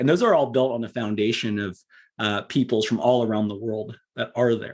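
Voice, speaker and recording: At a fairly quick pace, a man with an American accent uses an ordinary speaking voice with fairly even intonation. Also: quiet background. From Southern California. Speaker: public policy advocate. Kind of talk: interview podcast. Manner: many filler words.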